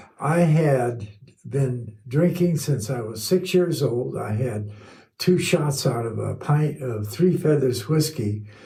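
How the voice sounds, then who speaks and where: Over noticeable background noise and audible room echo, a man of medium pitch talks at a very slow pace with lively intonation. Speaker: sobriety volunteer speaker. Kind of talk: testimony. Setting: studio.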